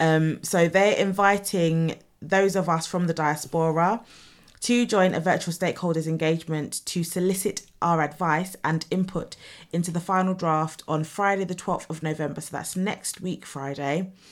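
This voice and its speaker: A woman talks at a moderate pace with a fairly low pitch. She has an unremarkable speaking voice, and the recording is very clean, with a silent background. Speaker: radio co-host and English teacher. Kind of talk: radio DJ co-host banter, casual and conversational chat. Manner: relaxed, chatty and jokey, with laughter and teasing.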